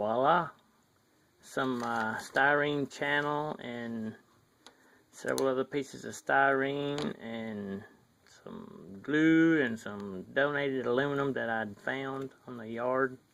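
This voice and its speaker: Someone talks at a very slow pace with a strong Southern US accent. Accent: thick Southern US. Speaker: hobbyist model builder. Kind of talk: casual vlog. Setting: outdoors in sunlight by garage. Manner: hesitant, many fillers.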